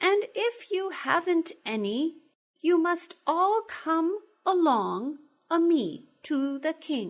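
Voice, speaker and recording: Squeaky and at an extremely high pitch, a woman performs a put-on character voice at a moderate pace with long, frequent pauses. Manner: officious, bossy.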